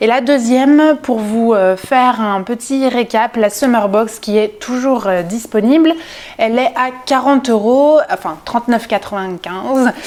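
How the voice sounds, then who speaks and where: Over noticeable background noise, a woman talks at a fairly slow pace and very even loudness, with a fairly high pitch and ordinary pitch variation. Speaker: sewing youtuber. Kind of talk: casual vlog haul. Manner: hesitant, many fillers.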